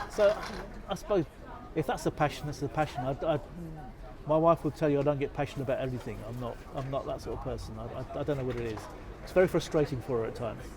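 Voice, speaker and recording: Over crowd noise in the background, a man with a fairly high pitch speaks at a very fast pace, with ordinary pitch variation and long, frequent pauses. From Scotland. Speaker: interviewee. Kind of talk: interview answer.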